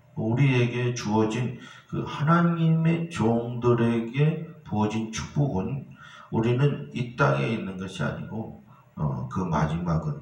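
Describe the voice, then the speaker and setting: Speaking at a very slow pace, a man at medium pitch makes very wide pitch swings amid audible room echo. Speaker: pastor. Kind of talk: sermon.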